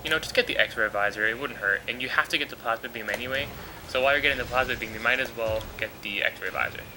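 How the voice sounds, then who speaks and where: A man rattles along at a very fast pace with ordinary pitch variation, noticeable background noise behind him. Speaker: let's play commentator. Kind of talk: video game commentary. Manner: subdued, mellow.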